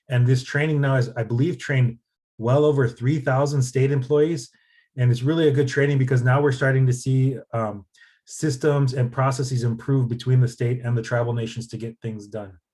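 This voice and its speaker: A man's medium-pitched voice, dark, mellow and somewhat breathy. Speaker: nonprofit policy advocate. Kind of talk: presentation. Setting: video call. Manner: fast when excited.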